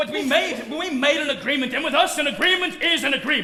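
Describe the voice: A man puts on a character voice pitched extremely high, bright and sharp in tone, talking fast with lively intonation.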